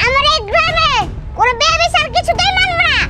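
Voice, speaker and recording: A put-on character voice at a moderate pace. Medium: short film. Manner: boastful, blustering.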